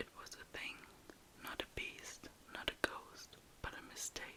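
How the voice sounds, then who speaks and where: Very slowly, a woman whispers. Noticeable background noise can be heard. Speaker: ASMR creator. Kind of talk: ASMR story reading. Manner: whispered, soft-spoken.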